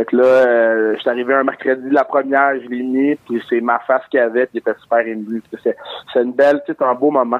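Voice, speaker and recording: A man speaks at a medium pitch in a monotone, with flat intonation. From Montreal, Quebec. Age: 20s. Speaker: comedian. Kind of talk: interview.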